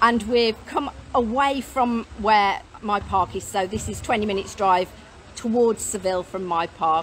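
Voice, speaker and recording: With light background noise behind her, a woman talks using ordinary pitch variation. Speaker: mobile home seller. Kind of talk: casual live stream chat. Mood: cheerful, laughing. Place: street. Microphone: phone near.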